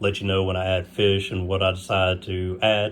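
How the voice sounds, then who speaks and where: This man's voice is very deep, with a very low pitch. He talks at a moderate pace. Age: 30s. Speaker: aquarium hobbyist youtuber. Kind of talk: casual video tour. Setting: at home, bedroom. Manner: hesitant, many fillers.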